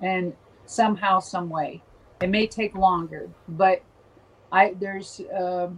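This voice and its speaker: Her voice is somewhat breathy and sits at a medium pitch for a woman. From Minnesota. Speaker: former professional wrestler. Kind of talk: interview.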